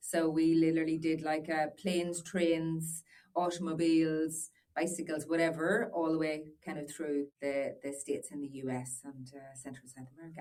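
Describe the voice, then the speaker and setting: A woman's very deep, low voice in an Irish accent, dark and mellow, with big swings in loudness. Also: fairly even intonation, fairly quick pace. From Northern Ireland. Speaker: business owner. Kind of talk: podcast interview. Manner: hesitant, many fillers.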